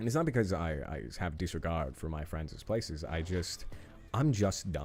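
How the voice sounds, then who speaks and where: A man with a very deep, low pitch, lively intonation and a fairly quick pace, music in the background. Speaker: gaming streamer. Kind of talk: live gameplay stream chat. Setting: live stream. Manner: loud; animated, expressive.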